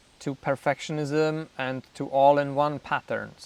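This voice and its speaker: Speaking at a fairly slow pace with a Czech accent, the voice stays monotone and flat. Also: man. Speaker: YouTuber in addiction recovery. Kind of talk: personal storytelling. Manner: casual, with fillers.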